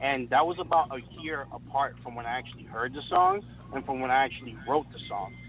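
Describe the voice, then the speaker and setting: A man with an American accent and an ordinary speaking voice, medium pitch, ordinary pitch variation and a fairly quick pace. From Brooklyn, New York. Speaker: rapper. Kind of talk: casual interview.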